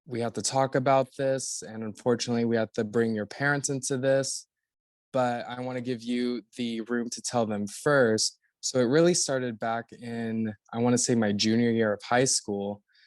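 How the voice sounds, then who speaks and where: A man with an American accent has a normal speaking voice at medium pitch with fairly even intonation. The sound is dry and close with no echo, over a quiet background. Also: moderate pace. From Florida (Orlando). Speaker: actor and podcast guest. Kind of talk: casual interview.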